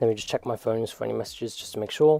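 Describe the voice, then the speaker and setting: Music plays behind a man with a British accent whose ordinary pitch variation comes through a dry, close sound with no echo. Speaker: gaming streamer. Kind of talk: live stream commentary. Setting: home PC live stream.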